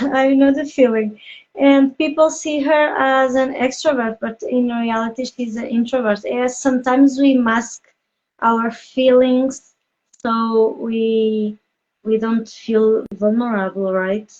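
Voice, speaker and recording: A woman with a non-native accent speaks very slowly in a high pitch, her intonation fairly even. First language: not English. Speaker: podcast host, business coach. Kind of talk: interview. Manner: halting, many fillers.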